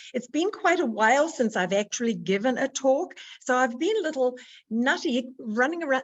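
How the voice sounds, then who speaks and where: Enthusiastic in tone, a woman with a high voice talks at a moderate pace with very wide pitch swings and very even loudness. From New Zealand. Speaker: motivational speaker and nutritionist. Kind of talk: motivational talk.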